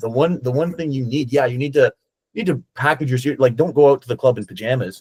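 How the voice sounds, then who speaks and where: A man with a Canadian accent talks at a very fast pace in an animated tone. His voice is somewhat breathy, with ordinary pitch variation. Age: 30s. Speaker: dating coach. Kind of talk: podcast interview.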